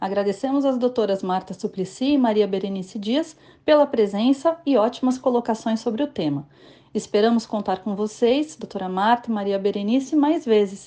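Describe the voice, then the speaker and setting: A woman speaks at a moderate pace with lively intonation and a fairly high pitch. Her tone is dark and mellow, and the background is quiet. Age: 40s. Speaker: notary and podcast host. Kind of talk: scripted outro.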